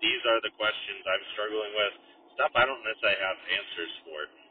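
A man talks at a moderate speed while noticeable background noise fills the recording. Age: 30s. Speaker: podcast host. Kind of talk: solo monologue. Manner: casual, with frequent fillers.

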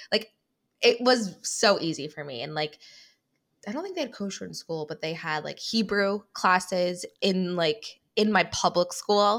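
Here a woman with a plain, everyday voice and an American accent speaks fairly slowly at medium pitch, with ordinary pitch variation and big swings in loudness. The recording is very clean, with a silent background. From US Midwest, Cleveland. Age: 20s. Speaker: podcast co-host guest. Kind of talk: casual chat.

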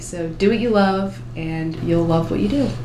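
With audible room echo and noticeable background noise, a woman speaks in an American accent at a fairly low pitch. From New Jersey. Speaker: college student, education major. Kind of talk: casual interview.

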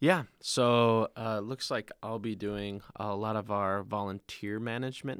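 A man talks with hardly any pauses in an ordinary speaking voice. The sound is dry and close, with no echo. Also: fairly low pitch for a man, fairly even intonation. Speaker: camp staff member. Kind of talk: casual chat. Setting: studio.

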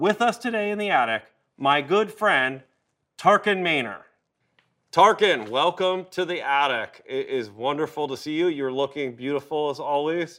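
An unremarkable speaking voice belongs to a man with a fairly high pitch. He uses lively intonation and keeps a moderate pace. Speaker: podcast host. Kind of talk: casual interview. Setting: in person studio.

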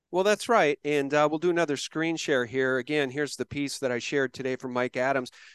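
Using an unremarkable speaking voice, a man talks at a fairly quick pace with hardly any pauses, a fairly high pitch and ordinary pitch variation, the sound dry and close with no echo against a quiet background. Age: 50s. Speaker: podcast host. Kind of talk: conversational interview with ad read.

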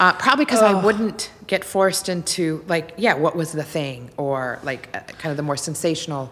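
A woman with a plain, everyday voice, fairly low in pitch, talks at a moderate pace with lively intonation and hardly any pauses. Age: 40s. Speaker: nonprofit director. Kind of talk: interview conversation.

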